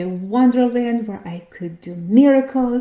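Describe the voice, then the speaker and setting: Very slowly, a woman speaks in a fairly high, somewhat breathy voice with a dark, mellow tone. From Latvia, Riga. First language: Latvian or Russian. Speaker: financial coach and podcast host. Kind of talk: workshop presentation.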